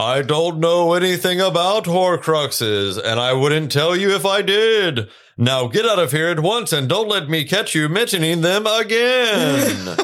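Using a put-on character voice, a man talks in a high pitch with hardly any pauses. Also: moderate pace.

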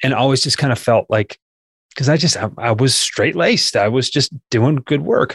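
The somewhat breathy voice holds a very even loudness in a dry, close recording with no echo. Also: man, medium pitch for a man, ordinary pitch variation, moderate pace. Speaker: sales trainer. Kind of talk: casual chat.

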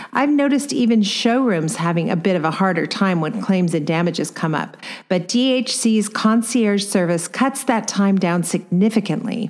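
With a Californian accent, a woman speaks with lively intonation, hardly any pauses and very even loudness. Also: medium pitch for a woman, moderate pace. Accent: California. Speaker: podcast host and design business coach. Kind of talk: casual interview.

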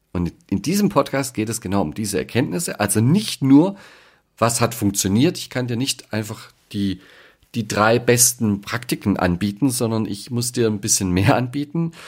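With a plain, everyday voice, this man talks at a moderate pace and medium pitch, his intonation lively. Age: 40s. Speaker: leadership coach and podcast host. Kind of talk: podcast monologue.

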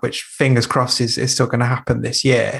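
This man has a normal speaking voice, medium in pitch and delivered at a fairly quick pace. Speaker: podcast host. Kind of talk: interview.

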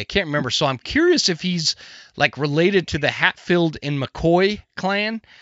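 He's a man with an American accent and a high pitch. His intonation is lively. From US Northwest. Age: 40s. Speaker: podcast host. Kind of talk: casual interview chat. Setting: studio. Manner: casual, profane.

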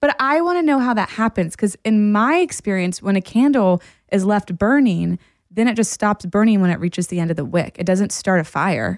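In a dry, close recording with no echo, a woman with a plain, everyday voice speaks at medium pitch and a moderate pace, her intonation lively. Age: 30s. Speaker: podcast co-host, therapist. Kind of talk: casual chat.

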